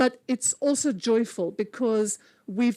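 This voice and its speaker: A woman speaks in a South African accent. Her pace is very slow. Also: dry, close sound with no echo. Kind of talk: conference talk.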